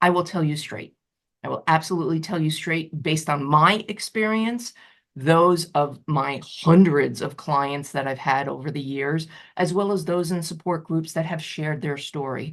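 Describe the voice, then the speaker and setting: A woman with a New York accent and a very deep, low pitch, over a quiet background. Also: ordinary pitch variation. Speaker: betrayal recovery coach. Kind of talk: support group talk. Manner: fast.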